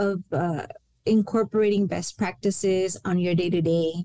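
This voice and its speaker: This woman has a dark, mellow tone and a Spanish accent. Her pitch varies in an ordinary way at a moderate pace. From El Paso, Texas. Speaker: university senior director. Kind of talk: interview on a podcast.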